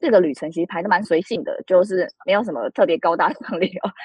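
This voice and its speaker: A woman talks at a fairly quick pace with lively intonation and a medium pitch. She has a plain, everyday voice. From Taiwan. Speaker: author. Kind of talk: interview.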